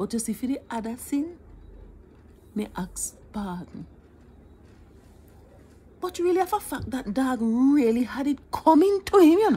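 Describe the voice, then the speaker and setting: A woman's high-pitched voice in a Jamaican accent, dark and mellow in tone, playful, with very wide pitch swings, a fairly slow pace and long, frequent pauses. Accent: Jamaican Patois. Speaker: storyteller. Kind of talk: humorous storytelling. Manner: playful, conversational. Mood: animated, mock-tearful humor. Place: home room. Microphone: phone near.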